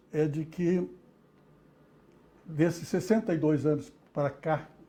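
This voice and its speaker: A man with a fairly high pitch and a dark, mellow tone speaks at a very slow pace, pausing long and often, with ordinary pitch variation. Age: 80s+. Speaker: retired dentistry professor. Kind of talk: interview. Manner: halting, with many repetitions and fillers.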